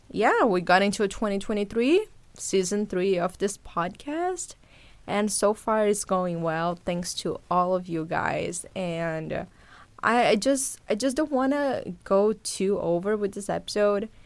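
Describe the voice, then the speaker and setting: In a Portuguese accent, a woman speaks at a fairly slow pace and a medium pitch with ordinary pitch variation, on a very clean recording with a silent background. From Brazil, Sao Paulo. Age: 20s. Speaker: podcast host, journalist. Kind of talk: casual monologue to listeners.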